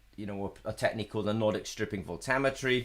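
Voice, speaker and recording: Ordinary pitch variation in a man's voice. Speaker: company representative hosting technical webinar. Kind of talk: live technical webinar Q&A. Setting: live online webinar. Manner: fast; hesitant, many fillers. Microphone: webcam.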